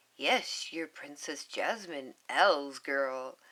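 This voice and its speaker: A woman puts on a character voice, raspy and very deep and low in pitch. She speaks very slowly with lively intonation. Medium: read story. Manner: playful, booming.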